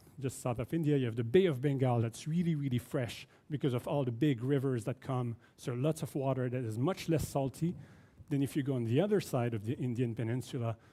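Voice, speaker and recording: Talking at a fairly quick pace with a Quebec accent, a man has a dark, mellow tone, a fairly high pitch, and ordinary pitch variation. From Quebec, Canada. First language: French. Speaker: oceanography professor. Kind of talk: keynote lecture.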